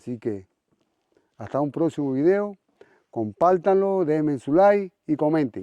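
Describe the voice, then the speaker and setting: A man's fairly high voice carries a dark, mellow tone and lively intonation. He goes at a fairly slow pace with long, frequent pauses, in a dry, close sound with no echo. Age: 60s. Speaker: vlogger. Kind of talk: casual vlog narration.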